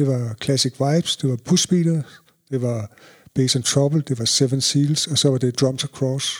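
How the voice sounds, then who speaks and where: A man's somewhat breathy, fairly high voice, fairly slow and fairly even in intonation, with a dry, close sound and no echo. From Denmark, Jutland (Ringkøbing) then North Zealand (Allerød) from age 11. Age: 50s. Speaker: reggae DJ and promoter. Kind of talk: interview, personal stories.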